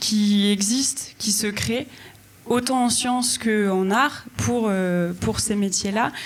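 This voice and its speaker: A woman speaks at a very slow pace with a fairly high pitch and fairly even intonation. Noticeable background noise runs behind her. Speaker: arts mediation professional. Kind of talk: panel discussion.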